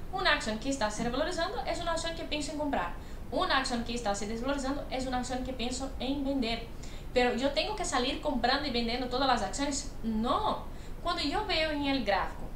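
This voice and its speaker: A woman with a high voice talks at a fairly quick pace, with audible room echo and light background noise. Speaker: investment educator. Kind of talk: commentary. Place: home room. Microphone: webcam.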